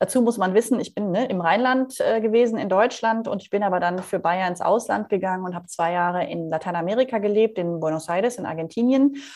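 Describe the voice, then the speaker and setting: This unremarkable speaking voice moves at a fairly quick pace with lively intonation over a quiet background. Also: woman. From Rhineland, Germany (Leverkusen). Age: 40s. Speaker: leadership coach and keynote speaker. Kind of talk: interview.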